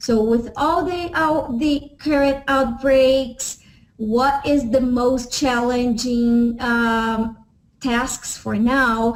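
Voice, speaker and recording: Speaking very slowly with a Portuguese accent, a woman uses a high pitch and fairly even intonation amid audible room echo. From Brazil. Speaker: professor. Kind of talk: lecture. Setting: web session. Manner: halting, many fillers.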